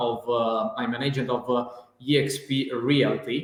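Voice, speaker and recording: There is audible room echo as a man with an Italian accent speaks at a fairly slow pace. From northern Italy, near Venice. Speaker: real estate agent. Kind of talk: live-streamed interview. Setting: online live stream video call. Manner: halting, many fillers.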